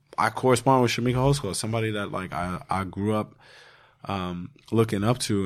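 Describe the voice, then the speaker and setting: A man with a normal speaking voice talks at a moderate pace and fairly low pitch with fairly even intonation. The recording is very clean, with a silent background. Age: 30s. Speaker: podcast host and mental health advocate. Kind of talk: casual chat.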